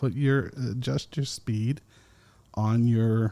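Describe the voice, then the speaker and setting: Recorded very cleanly with a silent background, a man speaks in a fairly low pitch with a dark, mellow tone. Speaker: podcast host. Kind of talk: casual monologue. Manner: slow.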